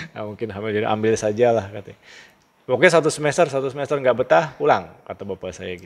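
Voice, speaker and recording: A man's very fast speech with lively intonation and big swings in loudness. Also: medium pitch for a man. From Java, Indonesia (Cirebon area). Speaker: school principal. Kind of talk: interview, personal life story. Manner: casual, animated storytelling.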